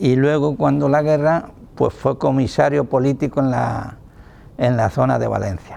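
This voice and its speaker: Noticeable background noise runs through the clip. The man's delivery is fairly slow. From Spain, Toledo province (rural Castile-La Mancha). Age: 80s+. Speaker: retired factory worker. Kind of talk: oral history testimony.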